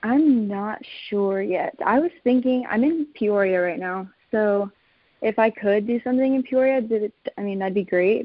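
A woman with an American accent has a plain, everyday voice at a medium pitch, with ordinary pitch variation. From Texas. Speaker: photographer, business owner. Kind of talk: casual interview.

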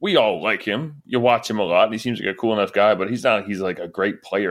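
A man's plain, everyday voice, fairly low-pitched and fairly quick, with ordinary pitch variation on a very clean recording over a silent background. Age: 30s. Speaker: baseball podcast co-host. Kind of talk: casual chat.

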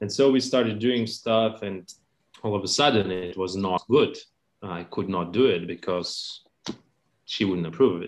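Speaking with a Lithuanian accent, a man keeps a moderate pace and a fairly low pitch with ordinary variation. He leaves long, frequent pauses. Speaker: accordionist. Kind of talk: interview.

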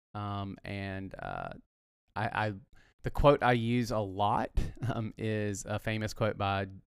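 A man talks in a Southern US accent with a fairly low pitch. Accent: US South. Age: 40s. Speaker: pastor. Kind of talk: casual chat.

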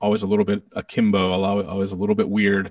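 A man with an American accent speaks at a moderate pace. The recording is very clean with a silent background, and the sound is dry and close with no echo. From Connecticut, New England. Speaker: podcast creator and composer. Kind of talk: casual interview.

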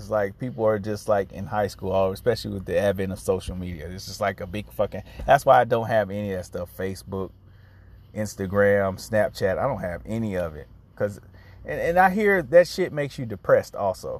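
In a normal speaking voice, a man talks at a fairly quick pace and fairly low pitch, with ordinary pitch variation and big swings in loudness. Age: 30s. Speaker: podcast host. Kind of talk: solo podcast monologue. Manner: casual.

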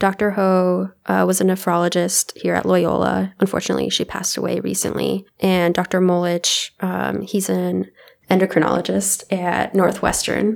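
With an American accent, the speaker keeps a moderate pace with hardly any pauses. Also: woman. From California. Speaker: medical student. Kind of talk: casual interview.

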